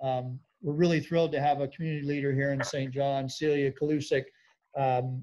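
Light background noise accompanies a man speaking fairly quickly in a dark, mellow tone with monotone, flat intonation. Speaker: seminar host. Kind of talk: event welcome and housekeeping. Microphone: video call.

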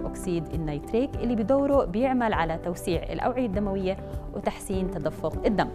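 Clear music plays in the background. A woman speaks over it at a moderate pace. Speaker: presenter. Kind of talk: informative TV segment. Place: studio. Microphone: lapel.

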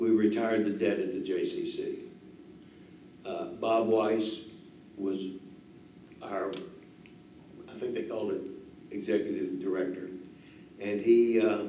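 A man talks at a fairly slow pace with long, frequent pauses, amid light background noise and audible room echo. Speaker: interviewee. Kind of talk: interview answer.

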